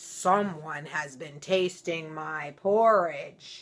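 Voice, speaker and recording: This is a put-on character voice at a middle pitch. The pace is very slow. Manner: grumbling, indignant.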